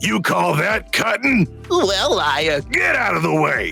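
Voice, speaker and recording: In a put-on character voice, a raspy man with fairly high pitch talks at a fairly slow pace with very even loudness while clear music plays in the background. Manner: impatient, gruff.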